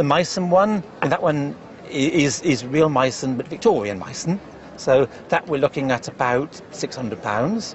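Over noticeable background noise, a man with a British accent speaks at a fairly slow pace, his fairly high pitch rising and falling in a lively way. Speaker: antiques specialist. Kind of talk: casual chat.

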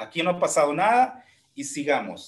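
In a fairly high voice, a man speaks with very wide pitch swings. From Honduras, Santa Bárbara; Honduras. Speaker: music teacher and instrumentalist; music teacher. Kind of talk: casual interview. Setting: video call. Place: home room.

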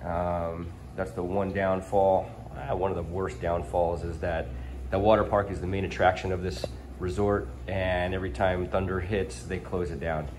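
Light background noise sits behind speech at a moderate pace with ordinary pitch variation. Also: man, very deep, low pitch for a man. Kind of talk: casual vlog chat. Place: home room. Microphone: phone near.

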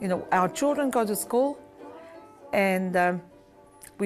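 Faint music sits in the background. A woman speaks fairly slowly over it. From Samoa. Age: 70s. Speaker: master weaver. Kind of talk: interview answer and teaching class. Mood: reflective, calm. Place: home room.

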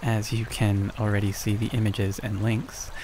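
A soft-spoken man against noticeable background noise. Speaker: ASMR creator. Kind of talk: soft-spoken announcement.

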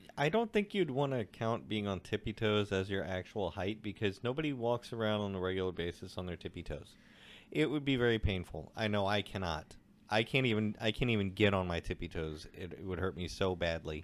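This man has an unremarkable speaking voice, fairly low in pitch with ordinary pitch variation. He talks at a fairly quick pace on a very clean recording with a silent background. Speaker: podcast co-host. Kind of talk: casual chat.

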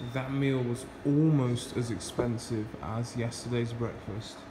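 A man speaking at a fairly slow pace amid noticeable background noise. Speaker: travel vlogger. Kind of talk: casual vlog chat. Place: cafe. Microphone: phone near.

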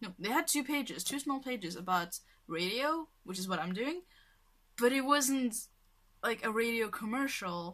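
At a moderate pace, a woman with a bright, sharp tone makes very wide pitch swings and takes long, frequent pauses against a quiet background. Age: 20s. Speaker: vlogger. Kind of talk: casual vlog monologue. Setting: at home, filming self. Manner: rambling with many fillers. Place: home room. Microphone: webcam.

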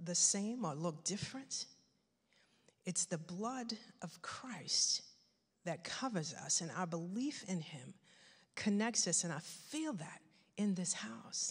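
Over a quiet background, a woman speaks at a very slow pace in a somewhat breathy voice. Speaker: guest. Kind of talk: sermon. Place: church. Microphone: handheld.

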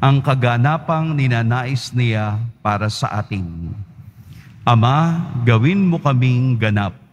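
He talks at a fairly slow pace in a somewhat breathy voice. The man's pitch is medium, with ordinary variation. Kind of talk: priest's solemn liturgical invitation to prayer, Tagalog Mass. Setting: church, livestreamed Mass. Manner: measured, formal priestly intonation.

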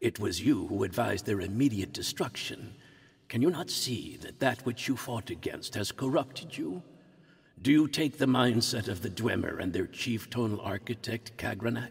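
Putting on a character voice, a man speaks at medium pitch. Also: moderate pace. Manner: earnest, pleading, formal.

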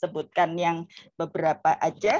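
A woman speaks in a dry recording with no echo and light background noise. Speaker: lecturer, session moderator. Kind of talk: moderating a lecture. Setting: video call. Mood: friendly, formal. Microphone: video call.

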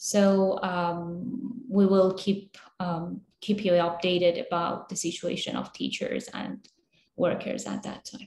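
A woman with a Kurdish accent talks at a very slow pace, somewhat breathy, with big swings in loudness. Audible room echo and light background noise surround her. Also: ordinary pitch variation. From Iraqi Kurdistan. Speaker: human rights worker; panelist. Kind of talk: webinar presentation. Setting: video call. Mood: serious, calm. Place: office. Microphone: video call.

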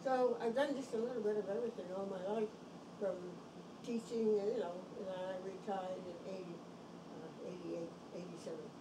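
Over clear background noise, a woman speaks at medium pitch and a moderate pace, with fairly even intonation and long, frequent pauses.

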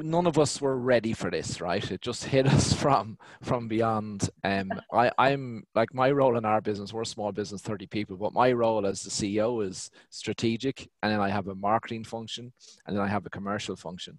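A man with an Irish accent, ordinary pitch variation, and a dry sound with no echo. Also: medium pitch for a man, fairly quick pace, quiet background. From Ireland. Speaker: business owner; guest. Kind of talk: panel discussion. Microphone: headset.

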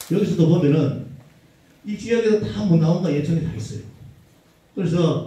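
This man speaks in a fairly high pitch, and his intonation is lively. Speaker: arts association leader presenting at forum. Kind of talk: forum presentation. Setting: conference hall with audience.

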